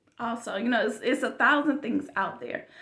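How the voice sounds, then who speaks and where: Loud and bright, a woman speaks with a sharp tone. Her pitch varies in an ordinary way. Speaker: YouTube vlogger. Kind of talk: casual monologue. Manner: chatty, informal.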